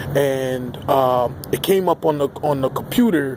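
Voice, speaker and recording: A man speaks against noticeable background noise. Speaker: political commentary vlogger. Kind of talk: opinion vlog rant. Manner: halting with fillers.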